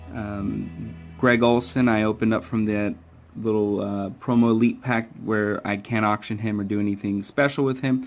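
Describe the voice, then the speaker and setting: A man's fairly low-pitched voice with ordinary pitch variation, with music in the background. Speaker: gamer, video game streamer. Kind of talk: casual talk to camera. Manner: hesitant, with stutters and fillers.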